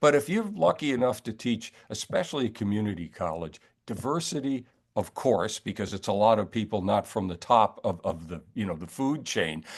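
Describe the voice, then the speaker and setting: Over a quiet background, a man with an American accent talks with very wide pitch swings and vocal fry. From New York. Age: 70s. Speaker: author and retired professor. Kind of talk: interview. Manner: animated.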